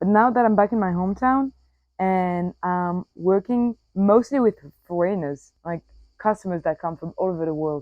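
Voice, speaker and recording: A woman speaks with a French accent at a moderate pace. Her pitch is medium. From Corsica, France. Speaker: podcaster. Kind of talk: casual personal podcast monologue. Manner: casual, many fillers and self-corrections.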